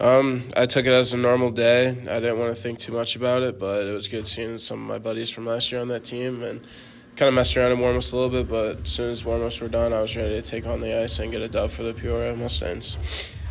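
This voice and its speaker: Audible room echo surrounds a man speaking very fast at a medium pitch with fairly even intonation. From Missouri, US. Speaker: junior hockey player. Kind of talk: sports interview.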